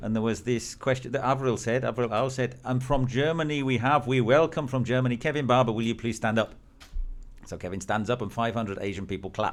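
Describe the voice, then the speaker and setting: At a fairly quick pace, a man with an English accent talks at medium pitch with ordinary pitch variation. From England. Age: 50s. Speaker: business networking executive. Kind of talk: interview.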